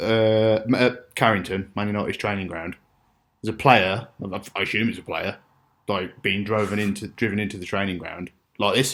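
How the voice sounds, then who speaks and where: A man speaks in an ordinary speaking voice at a fairly low pitch. His intonation is fairly even and his pace moderate. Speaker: podcast co-host. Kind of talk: casual podcast chat. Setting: home podcast recording, low mic quality.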